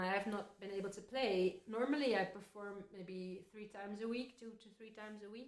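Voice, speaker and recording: Woman with a Dutch accent at a fairly quick pace, in audible room echo. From Netherlands. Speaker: folk singer. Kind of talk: casual chat between songs.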